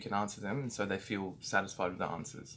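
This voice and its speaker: This man has a fairly low pitch. His accent is Australian. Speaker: business owner training staff. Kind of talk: training talk. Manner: halting, many fillers.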